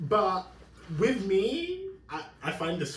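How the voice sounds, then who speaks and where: A man speaks with lively intonation. Room echo and background noise are both noticeable. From London, England. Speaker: podcast host. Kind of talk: casual chat.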